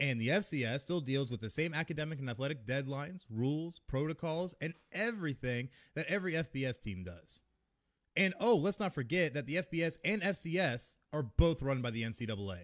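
A man's fairly high voice at a moderate pace, animated in tone and lively in intonation, over a quiet background. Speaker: podcast host ranting about college football. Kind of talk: angry rant. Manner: loud, fired-up, animated. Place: home room. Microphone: studio mic.

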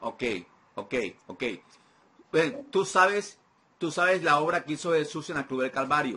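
With a bright, sharp tone and a slightly husky edge, a man talks at a fairly slow pace and a fairly high pitch. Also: ordinary pitch variation.

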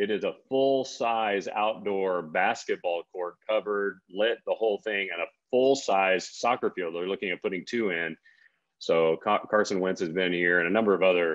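A plain, everyday voice moves at a moderate pace. Its pitch varies in an ordinary way. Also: man, fairly low pitch for a man. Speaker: author and men's ministry speaker. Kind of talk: interview with biblical teaching. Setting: video call from outdoors in Haiti. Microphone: connection dropped.

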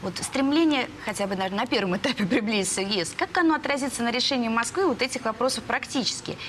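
Light background noise runs under a woman's high-pitched voice. She talks at a very fast pace with hardly any pauses. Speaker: TV news presenter. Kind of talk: news interview. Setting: studio. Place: studio. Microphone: lapel.

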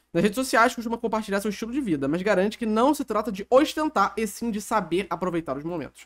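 A man with a Brazilian accent, high-pitched, very fast and with hardly any pauses, lively intonation over a quiet background. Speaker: streamer reacting to reality show. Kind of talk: casual live-stream reaction chat. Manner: joking, irreverent. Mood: playful, joking. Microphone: studio mic.

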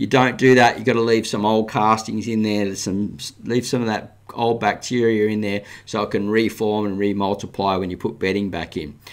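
A man with an Australian accent talks at a moderate pace, his fairly low voice keeping a fairly even intonation. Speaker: gardening YouTuber and worm farming teacher. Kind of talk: live interactive show, educational talk. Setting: live stream from home. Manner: friendly, casual, conversational.

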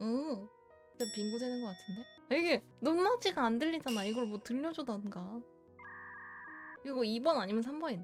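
A woman with a high pitch and lively intonation talks at a moderate pace, pausing long and often. Music plays in the background. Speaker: virtual streamer. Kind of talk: casual live-stream talk.

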